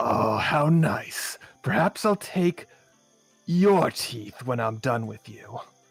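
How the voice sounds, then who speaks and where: Using a put-on character voice, a man speaks at medium pitch. His pace is very slow. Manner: menacing, mock-polite.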